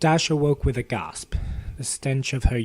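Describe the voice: This is plain reading aloud. The delivery stays simple throughout.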